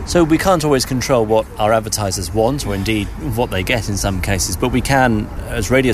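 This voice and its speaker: Amid noticeable background noise, a man talks at a moderate pace with lively intonation. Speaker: podcast host. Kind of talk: casual chat.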